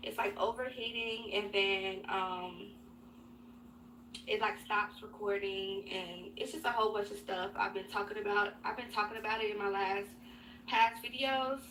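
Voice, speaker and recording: This woman has a bright, sharp tone at medium pitch, an American accent, vocal fry and a monotone, flat intonation, talking at a moderate pace. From Chicago, South Side. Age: 20s. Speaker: beauty youtuber. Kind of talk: casual Q&A chat. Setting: home glam room. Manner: casual, filler-heavy.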